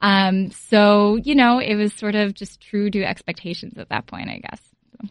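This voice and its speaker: A woman with an American accent uses an unremarkable speaking voice at a medium pitch. She talks at a fairly slow pace with fairly even intonation and big swings in loudness. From Philadelphia. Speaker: sports journalist. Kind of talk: reading aloud.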